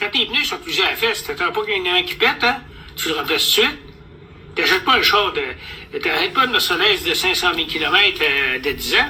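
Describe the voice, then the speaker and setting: A man with a Quebec accent amid noticeable background noise. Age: 70s. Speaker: vlogger. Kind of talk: casual monologue. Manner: animated.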